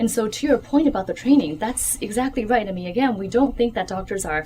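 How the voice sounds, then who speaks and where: A woman talks with lively intonation at a fairly high pitch. Background noise is noticeable. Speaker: physician and author. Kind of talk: book talk Q&A. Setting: bookshop audience.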